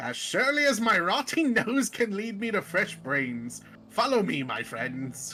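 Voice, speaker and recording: A man's put-on character voice, high-pitched, at a moderate pace over faint music in the background. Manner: ghoulish, cheerful.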